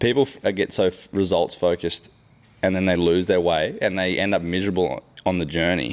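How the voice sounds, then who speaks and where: A fairly quick delivery in an Australian accent with very even loudness. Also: man, very deep, low pitch for a man, fairly even intonation. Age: 30s. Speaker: podcast host. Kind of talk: casual chat. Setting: boat workshop.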